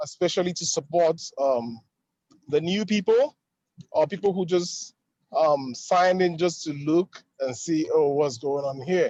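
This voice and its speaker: A man with a Nigerian accent speaks at a high pitch in a dark, mellow tone. His pace is fairly slow, with ordinary pitch variation. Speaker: driving school owner, webinar participant. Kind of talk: casual testimony on webinar. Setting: in a car, video call.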